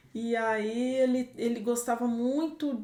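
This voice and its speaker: A woman talks in a somewhat high pitch, with background noise clearly audible. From Brazil, southern Minas Gerais. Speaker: organic farm owner, agronomist. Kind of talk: podcast interview.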